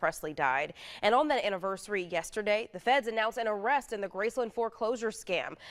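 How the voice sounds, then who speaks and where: In a normal speaking voice with an American accent, a woman talks fairly quickly at medium pitch with lively intonation. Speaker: TV news anchor and reporter. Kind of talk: TV news anchor and reporter reel.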